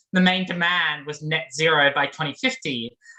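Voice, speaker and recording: This woman has a bright, sharp tone. She speaks with an Australian accent. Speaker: graduate student activist. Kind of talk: panel talk. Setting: video call. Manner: casual, many fillers.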